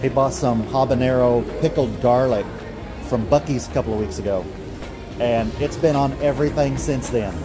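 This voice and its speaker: Clear music in the background behind a man at a moderate pace with ordinary pitch variation. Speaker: vlogger parent filming. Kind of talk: casual vlog chat. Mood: amused storytelling. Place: market.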